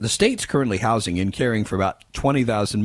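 This is plain reading aloud. Nothing else stands out.

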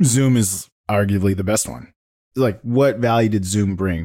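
Captured in a very clean recording with a silent background, a man with a fairly low pitch speaks in a plain, everyday voice. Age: 40s. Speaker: tech podcast host and sales executive. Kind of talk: casual chat. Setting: podcast recording.

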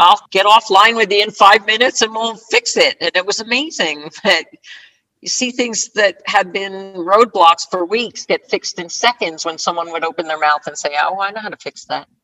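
A woman with an American accent has an ordinary speaking voice at a medium pitch, moving at a moderate pace with ordinary pitch variation. Her loudness swings widely, and the sound is dry and close with no echo. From US Northeast (northern New Jersey). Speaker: retired scrum master and agile coach. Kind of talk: interview.

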